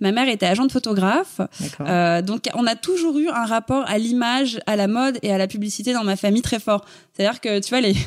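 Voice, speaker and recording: A normal speaking voice from a woman, fairly high in pitch, with lively intonation, very even loudness, and a fairly quick pace. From Paris, France. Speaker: fashion blogger. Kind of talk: interview.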